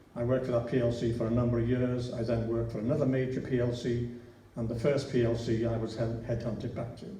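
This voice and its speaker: A man talks at a fairly quick pace in a medium pitch. Room echo is audible, and there is noticeable background noise. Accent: Liverpool. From Liverpool, England. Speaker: local council candidate. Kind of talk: election hustings speech. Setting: church hall with audience. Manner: halting.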